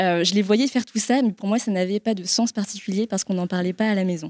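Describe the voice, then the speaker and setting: A woman speaks at a fairly quick pace in a dark, mellow tone of medium pitch. The recording is very clean and dry, close with no echo and a silent background. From France. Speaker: marketing director at a sustainable investment firm. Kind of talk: panel discussion. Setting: live event with audience.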